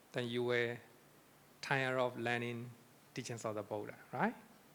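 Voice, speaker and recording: A man with a non-native accent. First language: not English. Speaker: Buddhist monk lecturer. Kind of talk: lecture. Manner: repetitive.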